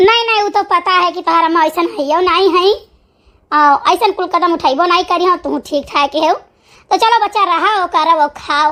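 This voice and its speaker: In a cartoonish character voice, a woman talks at a fairly quick pace and an extremely high pitch. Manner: brisk, motherly, scolding.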